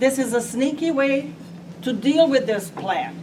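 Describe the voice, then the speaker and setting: A woman with a high pitch speaks at a fairly slow pace with very wide pitch swings, over noticeable background noise. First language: not English. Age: 80s+. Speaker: resident speaking at public meeting. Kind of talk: public comment at meeting.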